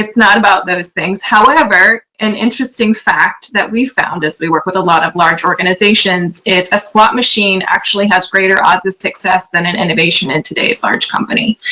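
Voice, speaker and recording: Someone with an American accent speaks at a fairly quick pace with hardly any pauses and ordinary pitch variation. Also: woman, medium pitch for a woman. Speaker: company executive, invited speaker. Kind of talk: online lecture. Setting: video call.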